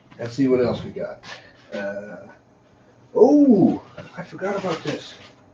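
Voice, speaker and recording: A man at a fairly slow pace, amid noticeable background noise. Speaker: tech live streamer. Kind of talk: live stream chat. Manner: casual, conversational.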